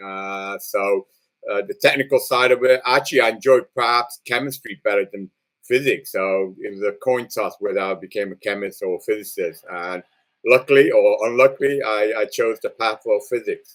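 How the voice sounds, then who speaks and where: With a British accent, a man speaks at a moderate pace, his loudness swinging widely. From England (Liverpool), born in Singapore. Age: 60s. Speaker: nuclear physicist. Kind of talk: interview. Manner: hesitant, many fillers.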